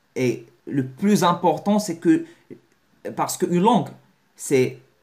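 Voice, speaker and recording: At a very slow pace, a man speaks at a high pitch with lively intonation. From Morocco. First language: Moroccan Arabic (speaking French). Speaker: language learning youtuber. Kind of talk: video lesson to camera. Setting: talking to a camera. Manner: halting, many repetitions and self-corrections.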